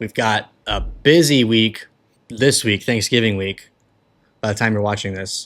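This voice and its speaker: On a very clean recording with a silent background, a man with an American accent speaks at a moderate pace in a bright, sharp tone. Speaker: cigar reviewer, podcast host. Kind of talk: product review monologue. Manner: casual, conversational.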